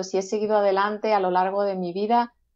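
Speaking at a moderate pace, a woman uses a normal speaking voice at a medium pitch. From Seville, southern Spain. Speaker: gospel singer-songwriter. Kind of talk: interview.

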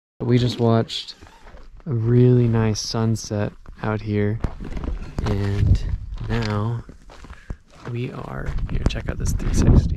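Over loud background noise, a man speaks at a very slow pace with long, frequent pauses and ordinary pitch variation, the sound dry with no echo. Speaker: road trip vlogger. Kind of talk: casual vlog chat. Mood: relaxed, awed. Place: open country. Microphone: phone near.

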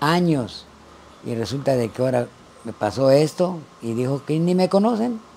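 A man's fairly high-pitched voice with very wide pitch swings, at a fairly slow pace, over light background noise. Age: 80s+. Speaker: former newspaper seller. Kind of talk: interview answer. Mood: aggrieved, pleading for help. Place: home room. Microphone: lapel.

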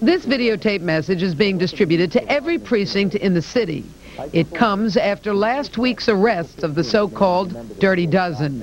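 At a moderate pace, the voice has lively intonation and a slightly mellow tone. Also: woman, medium pitch for a woman.

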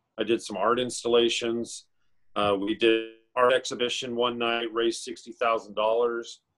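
Against a quiet background, a man with an American accent speaks in a monotone, flat intonation. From Northern California, Chico. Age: 40s. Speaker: artist. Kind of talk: interview. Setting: video call. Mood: warm, reflective. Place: home room.

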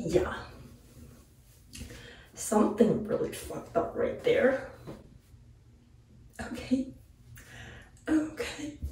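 Whispering, a woman is heard with audible room echo and light background noise. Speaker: vlogger. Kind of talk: casual talk to camera. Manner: whispered. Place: home room. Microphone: camera far.

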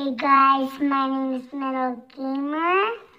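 A woman uses a squeaky, put-on character voice at a high pitch. She speaks at a fairly slow pace with fairly even intonation. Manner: slowed down.

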